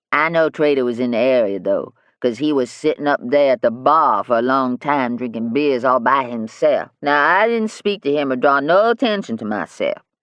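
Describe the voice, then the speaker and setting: A man's put-on character voice, fairly high and rumbling, with lively intonation, a moderate pace and hardly any pauses. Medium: read story. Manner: sullen, grumbling.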